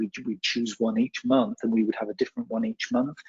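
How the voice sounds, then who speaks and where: The speaker is a man. He has a British accent. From UK. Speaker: communication skills trainer. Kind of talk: webinar Q&A. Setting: online webinar.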